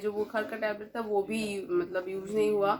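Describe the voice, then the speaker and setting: A woman speaks at a moderate pace in a fairly high pitch while noticeable background noise carries on. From West Bengal, India. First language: Bengali (speaking Hindi). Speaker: vlogger. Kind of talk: casual vlog chat.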